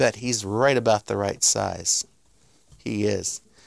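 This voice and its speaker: A man speaks at a fairly slow pace with fairly even intonation. The background is quiet and the sound is dry, with no echo. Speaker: children's show host. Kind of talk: children's craft tutorial. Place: studio. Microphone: lapel.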